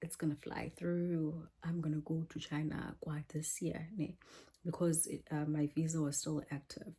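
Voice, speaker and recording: A woman speaks in a very deep, low pitch with a dark, mellow tone and a somewhat breathy quality. Her intonation is monotone and flat, and her pace is moderate. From South Africa, Eastern Cape born. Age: 30s. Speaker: English teacher vlogger. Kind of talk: casual vlog chat. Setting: small apartment.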